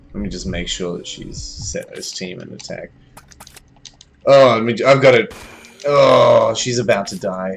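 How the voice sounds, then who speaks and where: A man speaks at a fairly slow pace, with long, frequent pauses. His loudness swings widely, and there is noticeable background noise. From Australia. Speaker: game streamer. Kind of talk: live gameplay commentary. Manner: animated.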